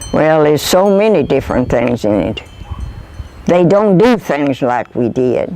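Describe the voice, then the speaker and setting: With a rural Kentucky accent, a woman speaks at a fairly slow pace in a very deep, low voice, her pitch swinging very widely while her loudness stays very even. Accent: rural Kentucky Southern. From US South. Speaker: oral history interviewee. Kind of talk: interview.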